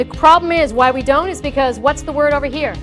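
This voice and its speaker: A woman talks while music plays in the background. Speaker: voice and communication coach. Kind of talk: keynote speech.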